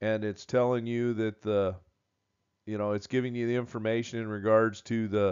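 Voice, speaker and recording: The man's voice sits at a medium pitch. His intonation is monotone and flat. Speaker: welding instructor. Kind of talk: tutorial. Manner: halting, filler words.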